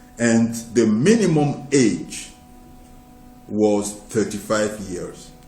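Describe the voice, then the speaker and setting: Music plays in the background as a man speaks at a medium pitch with ordinary pitch variation. The room echo is audible. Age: 60s. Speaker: preacher. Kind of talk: sermon. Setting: live broadcast.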